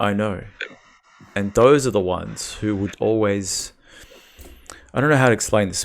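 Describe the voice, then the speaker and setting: A man with an Australian accent, fairly low in pitch, at a fairly quick pace with ordinary pitch variation. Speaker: dating call-in show host. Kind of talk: casual chat.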